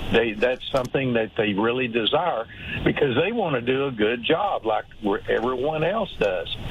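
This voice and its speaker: With an American accent, a man speaks at a medium pitch and moderate pace, his intonation lively and his loudness very even, against noticeable background noise. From Texas. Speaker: workplace culture consultant and author. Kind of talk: radio interview. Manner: hesitant, many fillers.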